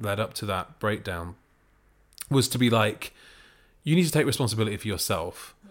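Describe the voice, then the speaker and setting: A man in a Manchester accent, medium pitch and ordinary pitch variation, in a very clean recording with a silent background. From Manchester, northern England. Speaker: podcast creator and writer-director. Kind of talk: interview.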